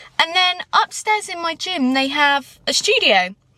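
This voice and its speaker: A woman with a southern English accent projects a raised voice at a high pitch. Her tone is animated, with very wide pitch swings. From southern England. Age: 20s. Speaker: vlogger and dance teacher. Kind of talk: casual vlog talk to camera. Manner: chatty, animated.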